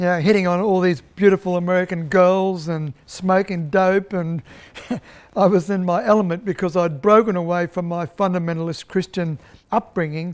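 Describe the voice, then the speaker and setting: A man with an Australian accent, high pitch, and fairly even intonation. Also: moderate pace. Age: 70s. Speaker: political candidate and filmmaker. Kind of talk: documentary interview; speech to audience.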